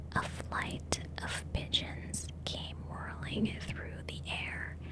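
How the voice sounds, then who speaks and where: Noticeable background noise sits behind a woman with a very deep, low pitch. She talks in a calm tone at a very slow pace. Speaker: ASMR artist. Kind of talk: ASMR audiobook reading. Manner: soft, whispery, calm.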